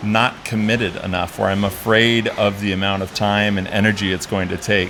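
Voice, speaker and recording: Over noticeable background noise, a man speaks at a fairly low pitch with monotone, flat intonation. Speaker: conversation host. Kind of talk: interview questions.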